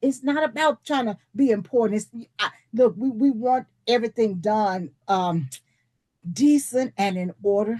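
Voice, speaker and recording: A dark, mellow, somewhat breathy tone with lively intonation at a fairly slow pace, dry and close with no echo. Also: woman, fairly high pitch for a woman. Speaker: leadership teacher. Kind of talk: online presentation.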